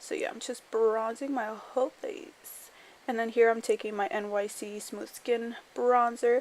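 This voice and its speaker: A woman speaks in a normal speaking voice, fairly high with ordinary pitch variation, at a fairly slow pace and with big swings in loudness. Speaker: beauty vlogger. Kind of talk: voiceover tutorial. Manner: casual, filler-heavy.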